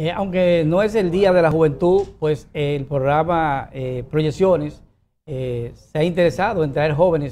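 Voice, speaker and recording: With a dark, mellow tone and fairly high pitch, a man speaks at a fairly slow pace with ordinary pitch variation. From Dominican Republic. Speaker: TV talk show host. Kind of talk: interview. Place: studio. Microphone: lapel.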